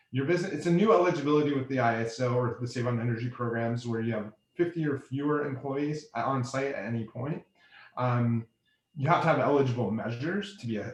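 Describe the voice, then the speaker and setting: Somewhat breathy, this man speaks. His pace is very fast. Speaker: energy efficiency program vendor presenter. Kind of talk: webinar presentation.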